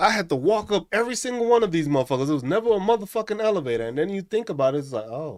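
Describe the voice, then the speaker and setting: A New York accent at a very fast pace, with very wide pitch swings, hardly any pauses, and a very clean recording over a silent background. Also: man, high pitch for a man. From New York City. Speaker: streamer. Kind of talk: casual chat. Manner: animated.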